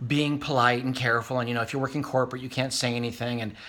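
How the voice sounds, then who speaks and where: A man at medium pitch speaks with a bright, sharp tone and fairly even intonation. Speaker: vlogger. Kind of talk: casual vlog monologue. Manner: fast.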